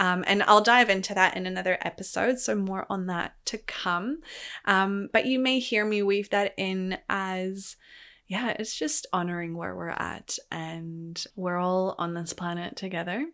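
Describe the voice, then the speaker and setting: At a fairly slow pace, a woman speaks in a bright, sharp tone. Her pitch varies in an ordinary way. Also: medium pitch for a woman, very clean recording, silent background. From third-culture kid, born in Poland, raised abroad. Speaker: podcast host, wellness coach. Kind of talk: solo podcast, personal story. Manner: casual, filler-heavy (like, um).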